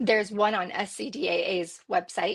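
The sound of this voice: In a put-on character voice, a woman speaks raspy and hoarse at a medium pitch, keeping a moderate pace and ordinary pitch variation.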